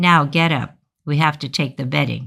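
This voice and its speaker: A man bellows in a put-on character voice, raspy and fairly high in pitch. His pace is moderate and his intonation fairly even. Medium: read story. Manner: bellowing, domineering.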